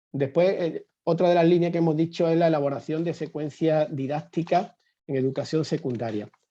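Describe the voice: Talking at a fairly quick pace, a man has a dark, mellow tone, a fairly high pitch and ordinary pitch variation.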